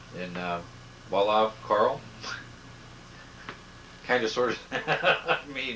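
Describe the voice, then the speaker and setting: A man's medium-pitched voice at a very slow pace, with lively intonation, big swings in loudness, long, frequent pauses and noticeable background noise. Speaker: son interviewing his mother. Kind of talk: casual home video interview.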